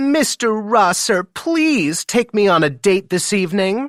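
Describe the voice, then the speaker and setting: A man's squeaky, put-on character voice, high-pitched for a man, with very wide pitch swings, very even loudness and a fairly slow pace, on a very clean recording with a silent background. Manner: teasing, mocking.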